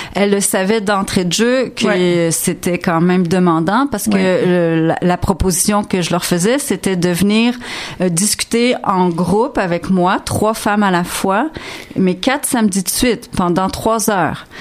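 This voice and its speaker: A woman at a fairly slow pace, ordinary pitch variation and very even loudness, with noticeable background noise. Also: medium pitch for a woman. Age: 50s. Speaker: interdisciplinary artist. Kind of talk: radio interview. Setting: studio.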